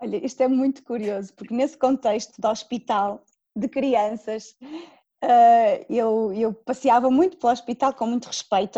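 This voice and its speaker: A woman with a fairly high pitch and a dark, mellow tone speaks with fairly even intonation in a dry, close sound with no echo. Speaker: Montessori school coordinator. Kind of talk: interview. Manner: halting.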